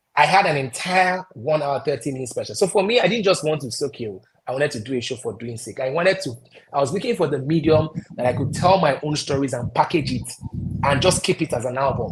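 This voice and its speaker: Over noticeable background noise, a man with a Nigerian accent speaks at a fairly high pitch, his intonation lively and his tone animated. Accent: Nigerian accent, deliberately retained. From Nigeria, Anambra State (Onitsha). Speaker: broadcaster and stand-up comedian. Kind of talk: interview.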